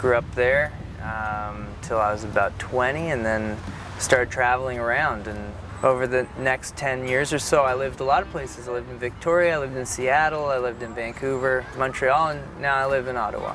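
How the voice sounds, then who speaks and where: A man speaks at a fairly quick pace in a Canadian accent. Noticeable background noise and audible room echo surround his voice. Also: medium pitch for a man, fairly even intonation. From Ontario, Canada (Hamilton). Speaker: musician. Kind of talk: interview.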